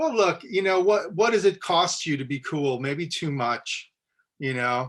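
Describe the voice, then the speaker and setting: A man with a New Jersey accent, high-pitched, with lively intonation and a fairly slow pace. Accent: New Jersey American. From US, New Jersey. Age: 50s. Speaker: podcast host and musician. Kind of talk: interview conversation. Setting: video call.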